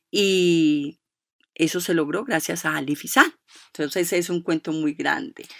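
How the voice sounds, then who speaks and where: A plain, everyday voice from a woman, fairly low in pitch, with lively intonation, a dry, close sound with no echo and a very clean recording over a silent background. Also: fairly slow pace. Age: 50s. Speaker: foundation director and co-founder. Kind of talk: radio interview.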